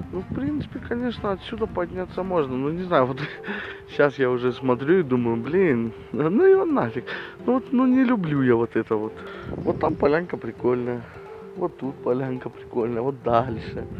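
A man at a moderate pace, dry sound with no echo, faint music in the background. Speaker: outdoor vlogger. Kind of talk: casual vlog chat. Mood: relaxed, admiring, joking. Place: open country. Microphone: phone near.

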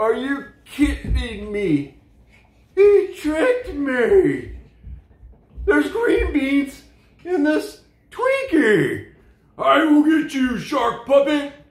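A man's cartoonish character voice, extremely high, very slow, with long, frequent pauses and a slight echo. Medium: puppet show. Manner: gleeful, then disgusted and indignant.

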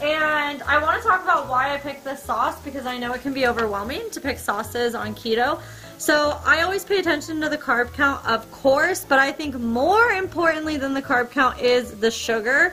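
A woman's raised, projected voice with faint music in the background. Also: ordinary pitch variation, moderate pace. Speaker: home cook vlogger. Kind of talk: casual cooking tutorial chat. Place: kitchen. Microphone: camera far.

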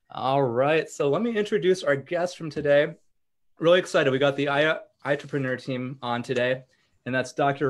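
With a quiet background, the talking goes at a moderate pace. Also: man. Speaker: podcast host. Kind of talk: reading a guest introduction. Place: home room. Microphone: video call.

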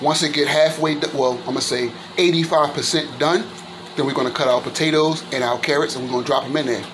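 With noticeable background noise behind him, a man speaks with fairly even intonation. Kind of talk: casual cooking tutorial. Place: kitchen. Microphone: phone near.

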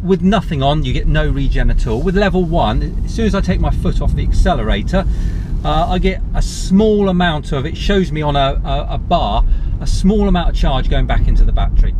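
At a fairly quick pace, a man talks over noticeable background noise, the sound dry with no echo. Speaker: car reviewer. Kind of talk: casual vlog chat. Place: car. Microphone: phone near.

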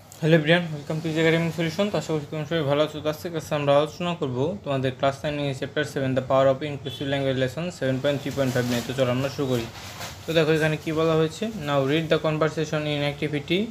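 A man's fairly high-pitched voice with fairly even intonation, over noticeable background noise. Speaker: online tutor for school English. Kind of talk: tutorial.

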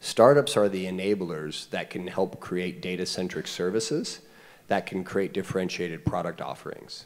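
With light background noise, a man speaks at a moderate pace in a very deep, low voice with ordinary pitch variation. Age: 40s. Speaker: startup CEO; panelist. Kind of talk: panel discussion. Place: stage. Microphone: handheld.

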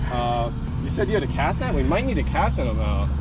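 A man talks at a very fast pace. Loud noise fills the background. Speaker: fish rescue vlogger. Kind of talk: casual vlog chat. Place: waterside. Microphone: phone near.

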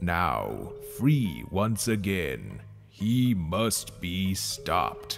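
A man's very deep, low put-on character voice at a very slow pace, with clear music in the background. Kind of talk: video game cutscene voice impression. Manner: calm, solemn.

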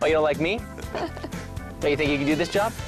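A man speaks in an upbeat, energetic tone. Music plays behind him. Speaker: TV game show host. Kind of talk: TV sports game show hosting.

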